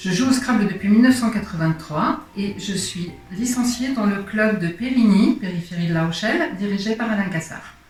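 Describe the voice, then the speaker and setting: A woman at medium pitch talks with ordinary pitch variation amid noticeable background noise and audible room echo. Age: 60s. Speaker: federation president, board candidate. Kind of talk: candidate self-presentation.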